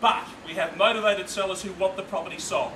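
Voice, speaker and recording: A raised, projected voice with an upbeat tone comes through noticeable background noise. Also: man. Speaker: real estate auctioneer. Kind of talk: live property auction call. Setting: outdoors at a live auction, addressing a crowd. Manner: fast, rhythmic bid-calling, upbeat and persuasive.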